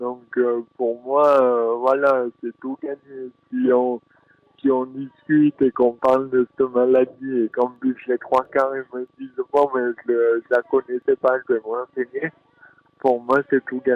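Speaking in a southern French accent, a man delivers his words at a very slow pace with monotone, flat intonation. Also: medium pitch for a man. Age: 20s. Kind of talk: interview. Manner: halting.

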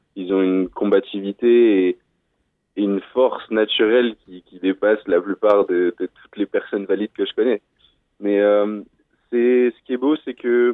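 A man talks at a fairly slow pace. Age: 20s. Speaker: decathlete. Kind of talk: radio interview. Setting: phone call. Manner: halting.

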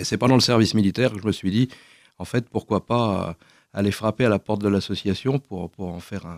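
At a fairly quick pace, the speech shows big swings in loudness and ordinary pitch variation, captured in a very clean recording with a silent background and a dry, close sound with no echo. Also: man. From France, Paris region. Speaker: association director. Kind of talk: radio interview. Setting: studio. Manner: halting, repeats words.

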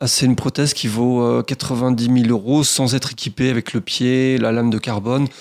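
At a moderate pace with hardly any pauses, a man speaks at medium pitch in a flat monotone with very even loudness. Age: 40s. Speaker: professional sailor and skipper. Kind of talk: radio interview. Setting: radio studio.

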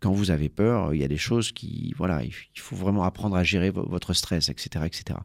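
A man with a very deep, low voice is heard in a very clean recording with a silent background. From France, Marseille. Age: 50s. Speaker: journalist and author. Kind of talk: radio interview. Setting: radio studio. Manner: halting, many hesitations.

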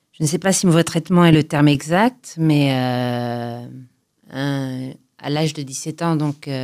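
A woman's very deep, low voice at a very slow pace, with ordinary pitch variation, in a very clean recording with a silent background. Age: 40s. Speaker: testimony guest on mental health. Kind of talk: personal testimony. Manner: halting.

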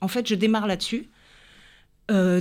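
The recording is very clean, with a silent background. A woman talks at a fairly quick pace and medium pitch, in a monotone, flat intonation. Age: 50s. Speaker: health coach and former ballet dancer. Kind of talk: radio interview.

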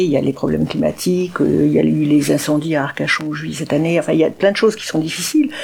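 At a fairly quick pace, a woman speaks over noticeable background noise. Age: 60s. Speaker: writer and speaker with paraplegia. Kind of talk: radio interview. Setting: dark radio studio.

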